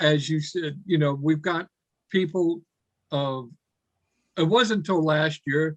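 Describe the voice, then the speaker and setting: A man with a fairly high pitch talks at a fairly slow pace with fairly even intonation, in a dry, close sound with no echo. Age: 60s. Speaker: online event moderator. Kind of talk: casual chat.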